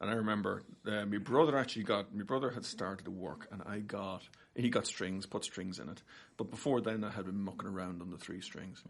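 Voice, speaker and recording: Spoken in an Irish accent, the voice moves at a fairly quick pace with ordinary pitch variation. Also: man. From Ireland. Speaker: guitar teacher. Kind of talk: podcast interview, casual conversation. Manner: fast.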